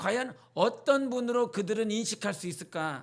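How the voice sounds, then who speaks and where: A man speaks at a fairly slow pace with an extremely high pitch, lively intonation and an animated tone, on a very clean recording with a silent background. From rural North Jeolla, Korea, then Seoul from age 11. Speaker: pastor. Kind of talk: sermon. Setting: church Wednesday service. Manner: animated, conversational preaching.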